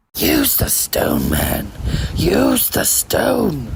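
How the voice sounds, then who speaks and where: A raspy, put-on character voice. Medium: audio drama. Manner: drawling, mocking.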